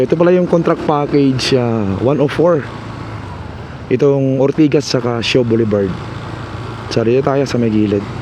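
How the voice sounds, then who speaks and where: There are long, frequent pauses as a man talks at a medium pitch. His pitch varies in an ordinary way, and noticeable background noise sits behind him. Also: moderate pace. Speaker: vlogger giving construction project updates. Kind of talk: walking vlog narration. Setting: outdoors, walking along city streets. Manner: casual, conversational.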